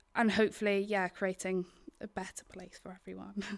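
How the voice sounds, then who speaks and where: A woman in a north Welsh accent, on a very clean recording with a silent background. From Wales, Isle of Anglesey (north Wales). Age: 20s. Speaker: documentary filmmaker. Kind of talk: interview. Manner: halting, many fillers.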